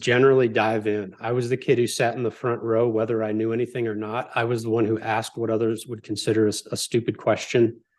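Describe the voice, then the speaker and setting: An ordinary speaking voice with hardly any pauses. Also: man. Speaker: podcast guest and entrepreneur. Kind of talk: casual interview chat.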